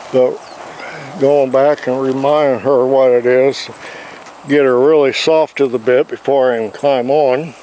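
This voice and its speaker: Over noticeable background noise, a man speaks in a monotone, flat intonation, leaving long, frequent pauses. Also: medium pitch for a man, fairly slow pace. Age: 70s. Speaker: horse trainer. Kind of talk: casual instructional talk.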